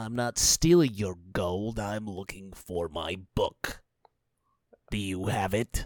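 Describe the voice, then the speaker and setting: A man talks at a fairly slow pace in a put-on character voice. The recording is very clean, with a silent background. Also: fairly low pitch for a man. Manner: defensive, blustering, frantic.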